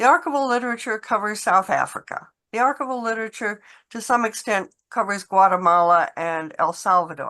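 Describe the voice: Speaking fairly quickly, a woman has a medium pitch, a bright, sharp tone and ordinary pitch variation.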